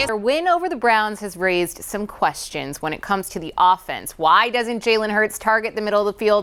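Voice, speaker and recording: In a very clean recording with a silent background, a woman with an unremarkable speaking voice talks at a fairly quick pace, fairly high in pitch, with lively intonation and hardly any pauses. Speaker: sports reporter. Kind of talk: sideline report.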